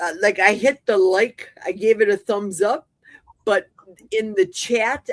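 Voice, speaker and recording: A woman speaks at a fairly slow pace with a fairly high pitch, in a plain, everyday voice. Her pitch varies in an ordinary way, and the sound is dry and close with no echo. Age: 60s. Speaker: panel guest. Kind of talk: casual chat.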